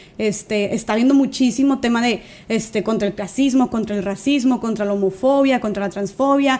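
Over noticeable background noise, a woman talks at a moderate pace with hardly any pauses. Her pitch is fairly high for a woman and varies in an ordinary way. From Mexico, Monterrey. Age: 20s. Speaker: social media activist and speaker. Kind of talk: casual chat.

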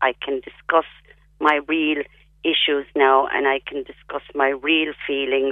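Someone speaks at a fairly slow pace in a Cork accent. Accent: Cork Irish. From Ireland, County Cork. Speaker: palliative care patient. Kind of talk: radio interview.

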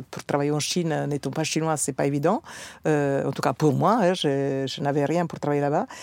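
Very deep and low in pitch, a woman speaks with an Italian accent at a moderate pace. Her intonation stays fairly even. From Italian, born in South Africa. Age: 50s. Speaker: trade show founder. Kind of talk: casual interview chat.

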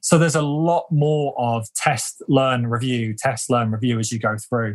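A man with a British accent speaks at a moderate pace in a somewhat breathy, medium-pitched voice with ordinary pitch variation. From UK. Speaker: leadership development consultant. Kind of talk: interview conversation.

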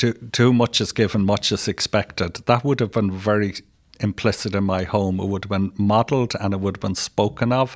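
On a very clean recording with a silent background and a dry, close sound with no echo, a man with a Dublin accent and a fairly low voice talks at a moderate pace with fairly even intonation. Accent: Dublin Irish. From Ireland, Dublin. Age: 60s. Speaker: retired probation officer and social work educator. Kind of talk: interview. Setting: in-person studio. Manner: halting.

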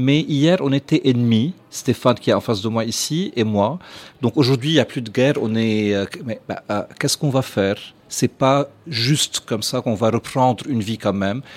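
A man with a plain, everyday voice speaks at medium pitch and a moderate pace with ordinary pitch variation. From Lebanon. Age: 40s. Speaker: restaurateur. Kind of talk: casual chat.

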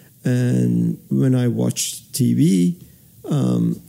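Noticeable background noise behind a man's speech full of very wide pitch swings. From Iran. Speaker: radio host, co-host. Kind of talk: casual chat.

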